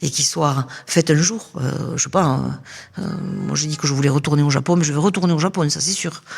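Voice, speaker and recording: Against noticeable background noise, a woman with a very deep, low pitch talks at a fairly quick pace with ordinary pitch variation and long, frequent pauses. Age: 60s. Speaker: interviewee at a seniors' fair. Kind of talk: podcast interview. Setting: temporary studio at a seniors' fair. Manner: hesitant, many fillers.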